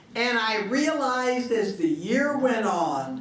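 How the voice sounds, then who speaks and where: A woman speaks with lively intonation. Some room echo can be heard. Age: 80s+. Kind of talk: panel talk to an audience.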